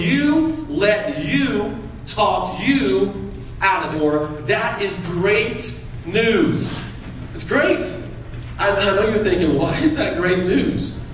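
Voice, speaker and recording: A man talks at a very slow pace. Audible room echo and light background noise fill the recording. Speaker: motivational speaker. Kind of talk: motivational speech. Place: hall.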